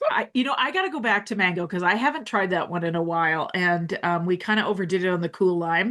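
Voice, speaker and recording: A woman speaks at a very fast pace with hardly any pauses. Noticeable background noise sits behind her. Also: medium pitch for a woman, ordinary pitch variation. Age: 40s. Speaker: women's health doctor and podcast host. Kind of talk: casual interview chat. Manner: animated.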